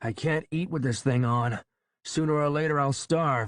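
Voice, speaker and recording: Against a quiet background, a man uses a put-on character voice at a fairly high pitch, with a moderate pace and ordinary pitch variation. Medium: read story. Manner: angry, strained.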